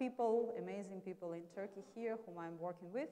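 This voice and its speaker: A woman speaks with a Russian accent. Her tone is dark and mellow. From Russia, Moscow. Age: 40s. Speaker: marketing executive. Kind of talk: lecture.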